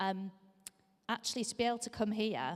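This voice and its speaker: A woman with a strong Scouse accent talks at a fairly quick pace with ordinary pitch variation. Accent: Scouse, strong and lasting. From Liverpool, England. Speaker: charity leader giving a church talk. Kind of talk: sermon-style talk. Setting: church service. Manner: frequent fillers (um).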